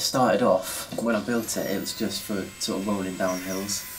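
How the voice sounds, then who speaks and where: A man speaks with a very deep, low pitch and fairly even intonation. His pace is moderate, and background noise is noticeable. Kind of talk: interview answer. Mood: relaxed, amused. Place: garage.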